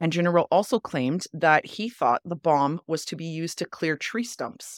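A woman speaks at a moderate pace in a fairly low pitch, her intonation lively, the sound dry and close with no echo. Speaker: podcast host. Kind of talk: casual chat.

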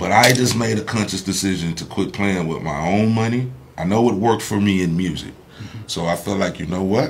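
Man with a fairly low pitch, ordinary pitch variation, a fairly quick pace and hardly any pauses. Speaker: entertainer and entrepreneur. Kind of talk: casual interview.

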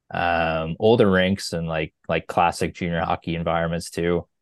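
Speaking at a fairly slow pace with a Maritime Canadian accent, a man with a very deep, low voice keeps a monotone, flat intonation against a quiet background. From New Brunswick, Canada. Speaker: sports travel writer. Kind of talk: casual chat.

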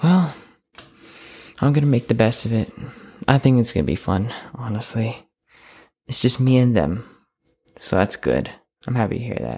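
A man's voice, somewhat breathy. His tone is dark and mellow. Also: medium pitch for a man, lively intonation, moderate pace. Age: young. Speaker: student podcaster. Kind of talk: casual solo monologue. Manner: halting, rambling.

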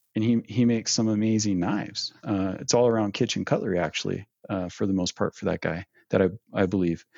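Very fast speech from a man with an American accent. His pitch is fairly low. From Northern California. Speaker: knife maker and small business owner. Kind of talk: interview.

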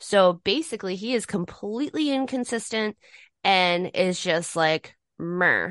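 In an unremarkable speaking voice, a woman with a medium pitch and lively intonation speaks at a fairly slow pace, recorded dry and close with no echo against a quiet background. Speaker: co-host. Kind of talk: casual banter podcast.

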